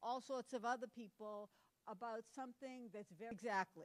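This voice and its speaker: A woman's fairly high, ordinary speaking voice, with ordinary pitch variation and a dry, close sound with no echo. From Massachusetts, Cape Cod. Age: 60s. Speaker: conference speaker. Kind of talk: conference talk.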